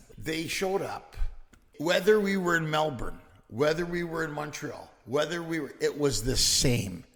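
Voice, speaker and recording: Over noticeable background noise, a man with a Canadian accent speaks at a high pitch. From Canada, Greek family. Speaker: stand-up comedian. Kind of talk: casual chat. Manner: animated.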